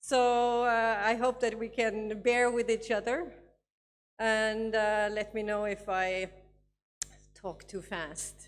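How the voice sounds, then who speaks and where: A woman's very slow, fairly high voice with fairly even intonation and long, frequent pauses, in a non-native accent, with music in the background. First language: not English. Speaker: education advisor. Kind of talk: conference talk. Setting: conference with audience. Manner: halting, many fillers.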